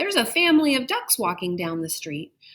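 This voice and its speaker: Doing a put-on character voice, a woman talks at a fairly quick pace and a fairly high pitch, with very wide pitch swings. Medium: read story. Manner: urgent, yelling.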